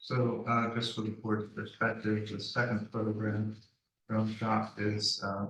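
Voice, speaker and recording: A man speaks quietly. His intonation is monotone and flat. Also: fairly low pitch for a man, fairly slow pace. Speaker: applicant presenting to review board. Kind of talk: public meeting presentation.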